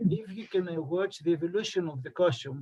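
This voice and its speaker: A man talks at a high pitch with a Greek accent. There is noticeable background noise. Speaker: costume researcher, presenter. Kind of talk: presentation and Q&A. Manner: halting, many fillers.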